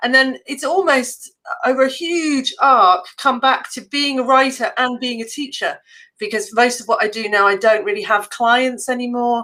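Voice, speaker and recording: In an English accent, the voice has a bright, sharp tone, ordinary pitch variation and a moderate pace. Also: woman, high pitch for a woman. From England. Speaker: copywriting entrepreneur and teacher. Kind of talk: interview. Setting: live stream.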